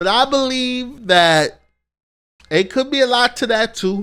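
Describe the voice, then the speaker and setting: A man speaks very slowly in a raised, projecting voice with a bright, sharp tone. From New York. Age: 30s. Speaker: streamer commentator. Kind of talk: casual commentary. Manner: halting.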